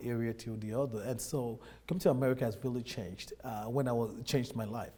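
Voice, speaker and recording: In a Nigerian accent, a man with a medium pitch and a dark, mellow tone talks at a fairly quick pace with fairly even intonation. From Nigeria, Lagos. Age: 30s. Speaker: immigrant businessman. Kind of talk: interview.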